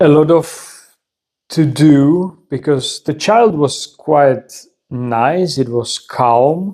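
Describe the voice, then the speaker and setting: Speaking very slowly, a man with a non-native accent uses a fairly high voice with a dark, mellow tone and ordinary pitch variation. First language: not English. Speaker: video creator sharing personal stories. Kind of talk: personal storytelling monologue. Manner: halting, many repetitions and fillers.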